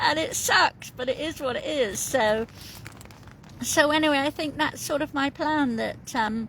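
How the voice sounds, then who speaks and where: A high-pitched woman at a fairly slow pace, with lively intonation and noticeable background noise. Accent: British. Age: 50s. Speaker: coastal walker vlogger. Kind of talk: casual vlog chat. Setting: in a tent on the coast. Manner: chatty, rambling with fillers.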